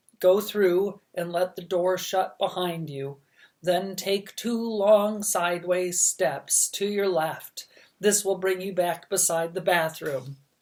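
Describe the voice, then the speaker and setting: In a put-on character voice, the speaker uses a middle pitch at a fairly slow pace. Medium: read story. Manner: gentle, courteous.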